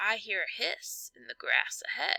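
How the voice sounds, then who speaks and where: A woman uses a raspy, put-on character voice at a moderate pace. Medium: read story.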